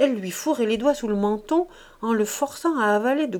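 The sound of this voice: The voice reads in an unforced manner.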